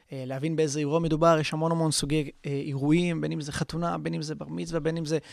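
The recording is very clean, with a silent background. A man with a fairly high voice speaks very fast with fairly even intonation. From Israel, Haifa. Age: 20s. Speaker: DJ and music producer, student. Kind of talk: casual interview.

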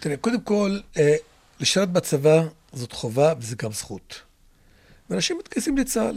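In a very clean recording with a silent background, a man speaks with an Arabic accent and a high pitch. His pitch swings very widely, and he leaves long, frequent pauses. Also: moderate pace, big swings in loudness. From Israel, Druze community (Carmel). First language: Arabic (speaking Hebrew). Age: 70s. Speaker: local council head. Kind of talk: interview. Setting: studio.

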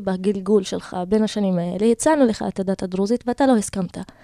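A woman with an Arabic accent speaks at medium pitch and a fairly quick pace, with a dark, mellow tone, ordinary pitch variation, and a dry, close sound with no echo. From Israel, Galilee (Druze community, Karmiel area). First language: Arabic (speaking Hebrew). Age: 20s. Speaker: lawyer and social activist. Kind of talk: interview. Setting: radio studio. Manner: halting.

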